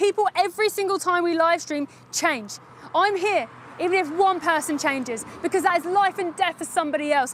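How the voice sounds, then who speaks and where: A loud woman talks at a fairly quick pace with an extremely high pitch and ordinary pitch variation over noticeable background noise. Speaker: animal rights activist livestreamer. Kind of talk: live stream street activism. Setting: outdoors outside a slaughterhouse.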